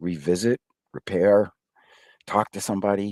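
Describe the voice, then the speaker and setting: A man's fairly low voice, dry and close with no echo, in a very clean recording with a silent background. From Massachusetts (Somerville, Boston area). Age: 60s. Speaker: technology executive and career advisor. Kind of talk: podcast interview. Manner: halting, many fillers.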